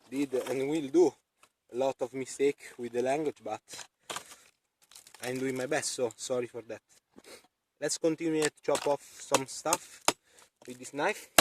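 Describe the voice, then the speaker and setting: A man with a non-native accent talks fairly slowly with fairly even intonation, long, frequent pauses and big swings in loudness. The sound is dry and close with no echo. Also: medium pitch for a man. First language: not English. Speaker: outdoor knife reviewer. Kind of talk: product review demonstration. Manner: halting, many fillers.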